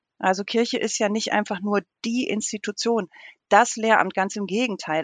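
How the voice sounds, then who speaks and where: A woman's fairly high, ordinary speaking voice in a dry, close sound with no echo. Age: 40s. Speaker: theologian. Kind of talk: interview.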